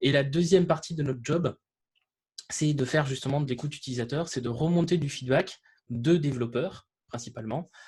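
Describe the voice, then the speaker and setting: With a Toulouse accent, a man talks at a fairly quick pace in a fairly high, somewhat breathy voice, showing ordinary pitch variation and long, frequent pauses. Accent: southern French (Toulouse). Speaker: developer advocate. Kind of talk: webinar presentation. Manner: hesitant, many fillers.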